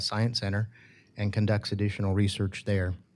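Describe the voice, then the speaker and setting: A man with a slight Southern US accent talks at a fairly low pitch. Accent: slight Southern drawl. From California. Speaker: biotech company CEO. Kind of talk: conference talk. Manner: halting, many fillers.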